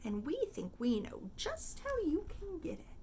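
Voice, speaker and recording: A woman's put-on character voice at an extremely high pitch, over clear background noise. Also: moderate pace. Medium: read story. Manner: measured.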